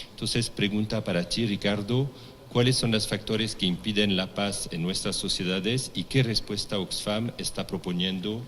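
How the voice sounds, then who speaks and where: A man with a French accent talks at a fairly low pitch and a moderate pace, with ordinary pitch variation. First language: French (speaking Spanish). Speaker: forum moderator, diplomat. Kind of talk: panel moderation. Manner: halting, many restarts.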